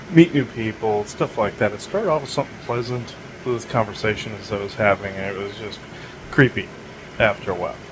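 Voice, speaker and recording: Noticeable background noise sits behind this speaker. He is a man with a medium-pitched voice. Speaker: spiritual channeler podcast host. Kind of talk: casual monologue. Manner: halting, stammering.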